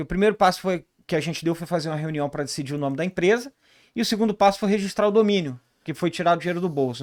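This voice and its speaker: At a very fast pace, a man speaks in a high pitch with ordinary pitch variation, captured in a very clean recording over a silent background. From Rio de Janeiro, Brazil. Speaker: ERP consultant, business co-founder. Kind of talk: podcast interview.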